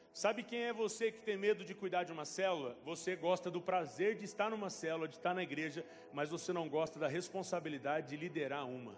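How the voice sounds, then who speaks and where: A man talks at a fairly quick pace with hardly any pauses. His pitch is high for a man, with ordinary variation. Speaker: pastor. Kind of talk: sermon. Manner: animated.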